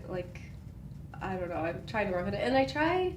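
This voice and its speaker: The voice belongs to a woman. Noticeable background noise runs behind her. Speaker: chiropractic patient with neck and back stiffness. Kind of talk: casual conversational answer in a consultation.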